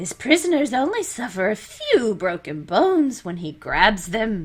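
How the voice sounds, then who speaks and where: A woman's put-on character voice with very wide pitch swings at a moderate pace. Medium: solo performance. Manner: affable, folksy.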